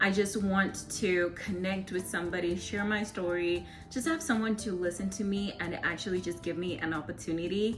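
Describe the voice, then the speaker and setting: A woman at a medium pitch and moderate pace, with hardly any pauses, audible room echo and music in the background. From Zimbabwe. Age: 20s. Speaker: vlogger and electrical engineer. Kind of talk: casual Q&A vlog. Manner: animated.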